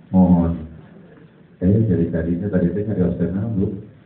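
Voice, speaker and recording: Noticeable background noise and audible room echo both color this man's speech. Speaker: Islamic preacher. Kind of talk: sermon. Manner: loud.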